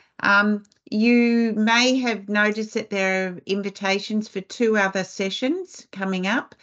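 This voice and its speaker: Fairly slow speech comes with an Australian accent. The pitch moves in an ordinary way over a quiet background. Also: woman. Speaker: webinar host and foundation CEO; webinar host, moderator. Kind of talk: webinar presentation. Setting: video call webinar. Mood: warm, appreciative. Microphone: video call.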